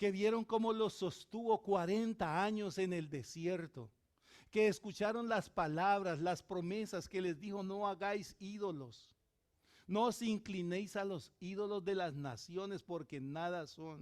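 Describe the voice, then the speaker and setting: A man speaks with a high voice. His pitch rises and falls in an ordinary way. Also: fairly slow pace. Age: 60s. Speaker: pastor. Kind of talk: sermon.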